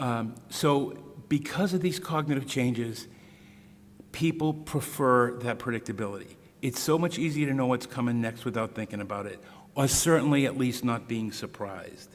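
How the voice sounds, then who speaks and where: A man with a Boston accent speaks at a medium pitch with ordinary pitch variation. Audible room echo surrounds his voice. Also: moderate pace. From US Northeast, Boston area. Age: 60s. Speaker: speaker on Huntington's disease care. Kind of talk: lecture. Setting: stage with audience at podium. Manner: casual, conversational.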